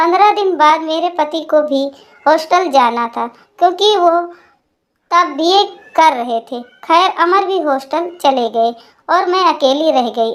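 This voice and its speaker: A woman's extremely high voice with lively intonation at a moderate pace. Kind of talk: emotional first-person storytelling. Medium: read story. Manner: soft, melancholy.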